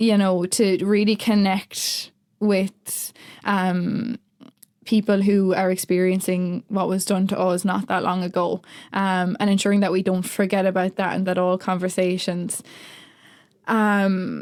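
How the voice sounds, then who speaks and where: In a very clean recording with a silent background, a woman with an Irish accent speaks at a medium pitch with very even loudness and monotone, flat intonation. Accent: Irish, relatively flat. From rural Ireland. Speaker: writer in residence. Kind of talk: interview. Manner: hesitant, many fillers.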